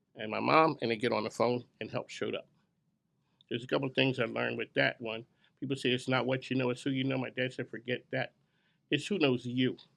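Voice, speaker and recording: A man with vocal fry, talking at a very fast pace. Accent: American. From Philadelphia. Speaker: business radio show host. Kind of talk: event emcee speech to live audience. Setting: grand opening event with audience. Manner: casual, unscripted.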